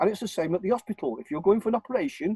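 A man with a northern English accent talks very fast at a high pitch, in a dark, mellow tone with lively intonation. The sound is dry with no echo, over a quiet background. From northern England, Warrington. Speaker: self-styled legal campaigner. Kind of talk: interview. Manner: rambling, repetitive. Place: home room. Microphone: video call.

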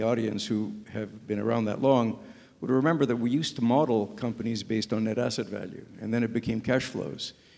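The man's voice has a dark, mellow tone. His intonation stays fairly even. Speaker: panelist. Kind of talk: panel discussion answer. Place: hall. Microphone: handheld.

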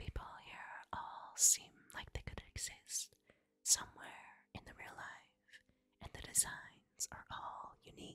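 Very slowly, a woman speaks. Every word is whispered. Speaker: game reviewer. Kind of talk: whispered ASMR game review. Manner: whispered, soft.

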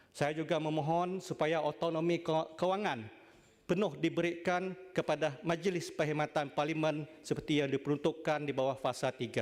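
Here is a man with an ordinary speaking voice, pitched fairly high and moving at a moderate pace. His loudness is very even and his intonation fairly even. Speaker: senator. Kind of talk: parliamentary debate speech. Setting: legislative chamber. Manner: formal.

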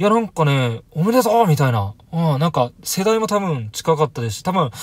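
The somewhat breathy voice goes at a fairly quick pace, its sound dry with no echo. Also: man. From Japan. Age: 30s. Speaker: YouTuber vlogging watch-shop visits; watch hobby vlogger. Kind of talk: casual vlog monologue; casual vlog chat. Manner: hesitant, many fillers. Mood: upbeat, chatty. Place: home room.

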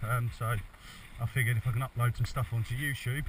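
Somewhat breathy and at a fairly quick pace, a man speaks in a dry sound with no echo over light background noise. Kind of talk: casual vlog chat. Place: forest. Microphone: phone near.

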